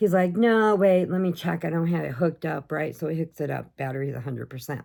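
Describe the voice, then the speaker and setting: A woman with a very deep, low voice talks at a fairly quick pace. The recording is very clean, with a silent background. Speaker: crochet and pets vlogger. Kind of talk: casual vlog chat. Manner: animated storytelling.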